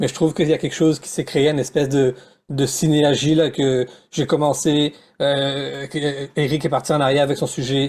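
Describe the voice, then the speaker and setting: A man's fairly high-pitched, normal speaking voice at a fairly quick pace, on a very clean recording with a silent background. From Réunion Island. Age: 30s. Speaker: educator and presenter. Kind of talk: panel discussion.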